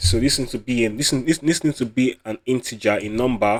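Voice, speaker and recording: A man's voice at a medium pitch. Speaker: programming tutorial creator. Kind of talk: coding tutorial. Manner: fast; repetitive, self-correcting.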